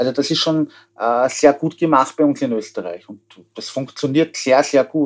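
In a Viennese accent, a man with a fairly high pitch talks at a moderate pace, showing ordinary pitch variation and big swings in loudness. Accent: Viennese Austrian German. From Austria, Vienna. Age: 40s. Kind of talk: interview. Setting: remote connection.

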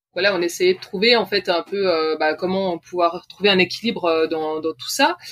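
A woman at a medium pitch and a moderate pace, with hardly any pauses. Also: ordinary pitch variation. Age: 30s. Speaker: sailor and former nurse, parent. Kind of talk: interview. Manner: hesitant.

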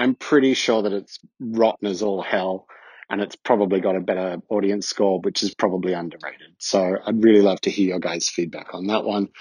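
Dry and close with no echo, a man with an Australian accent talks fairly quickly with hardly any pauses, his pitch fairly low and his intonation fairly even. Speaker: listener. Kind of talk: recorded voice message. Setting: listener audio clip.

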